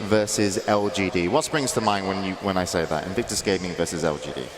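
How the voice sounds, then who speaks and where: A man's fairly low-pitched voice with ordinary pitch variation, over noticeable background noise. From England, Somerset. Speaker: esports show host. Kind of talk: panel discussion.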